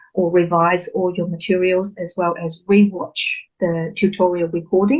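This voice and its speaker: Moderate tempo, typical pitch movement, and a slightly airy quality. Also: woman. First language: not English. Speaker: recent graduate sharing exam tips. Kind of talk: online webinar Q&A.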